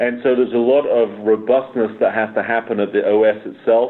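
At a moderate pace, a man speaks at medium pitch. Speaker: technology executive. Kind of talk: interview. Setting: remote call.

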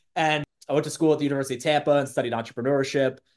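In a quiet background, a man is heard speaking with an American accent. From Massachusetts, Bedford/Lexington/Concord area. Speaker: real estate team executive. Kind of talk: casual interview.

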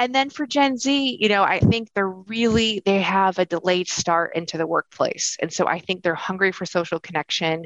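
A woman speaks at a medium pitch with lively intonation and hardly any pauses. The background is quiet, and the sound is dry and close with no echo. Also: moderate pace. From US Northeast, Rochester, New York. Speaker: workforce researcher. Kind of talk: interview.

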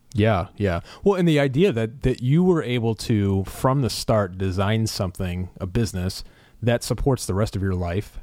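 A man speaks at a moderate pace in a fairly low pitch, his dark, mellow tone carried by lively intonation. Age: 30s. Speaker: podcast host and entrepreneur. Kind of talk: interview.

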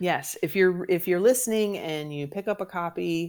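A woman in an ordinary speaking voice, fairly low in pitch, with ordinary pitch variation and a moderate pace. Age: 40s. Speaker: comedian and writer. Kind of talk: interview.

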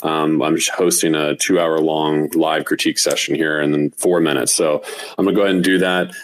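A man talks at a fairly quick pace with very even loudness over noticeable background noise. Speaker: digital artist. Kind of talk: casual chat. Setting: online audio room.

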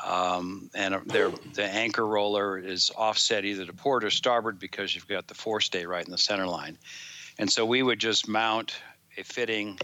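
His tone is bright and sharp, with a fairly low pitch for a man. The intonation stays fairly even. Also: moderate pace. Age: 60s. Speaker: engineer and product developer. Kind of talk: interview.

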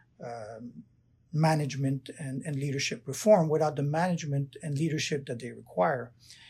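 The recording is very clean, with a silent background, and features a man with a French Canadian accent at a moderate pace. His fairly high voice has a dark, mellow tone and is somewhat breathy. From Canada, Quebec. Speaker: prosecutor, ICC candidate. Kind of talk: job interview-style Q&A. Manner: hesitant, many fillers.

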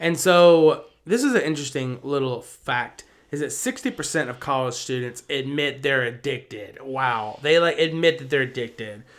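The pitch rises and falls by an ordinary amount. It is a plain, everyday voice. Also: man, fairly high pitch for a man, moderate pace, very clean recording, silent background. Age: 20s. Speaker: podcast co-host. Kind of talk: casual chat.

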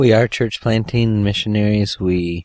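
In a dry, close sound with no echo, a man speaks with an Upper Midwest accent. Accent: Upper Midwest American. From Michigan, US. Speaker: missionary. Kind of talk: interview.

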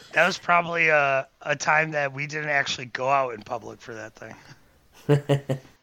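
In a plain, everyday voice, a man speaks at a moderate pace, his fairly high pitch kept to fairly even intonation while his loudness swings widely. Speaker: filmmaker. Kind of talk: casual chat.

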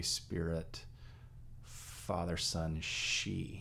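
Amid audible room echo, a man with an American accent speaks in a very deep, low voice with monotone, flat intonation. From Texas. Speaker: priest. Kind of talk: casual chat.

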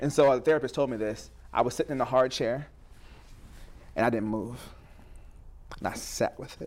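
A man with an American accent speaks at a fairly quick pace and a medium pitch, with vocal fry and fairly even intonation. His loudness swings widely, and he takes long, frequent pauses. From Southeast New Jersey. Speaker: mental health speaker. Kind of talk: casual interview. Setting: studio.

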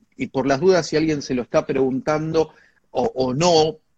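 A man speaks with an Argentine accent. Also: dry, close sound with no echo. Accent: Rioplatense Argentine Spanish. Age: 50s. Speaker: communication expert and lecturer. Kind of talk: interview. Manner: animated.

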